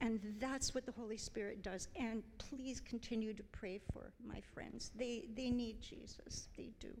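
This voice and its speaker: The speaker has an ordinary speaking voice with fairly even intonation. The pace is fairly slow. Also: woman, fairly high pitch for a woman. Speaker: church member sharing testimony. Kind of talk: testimony.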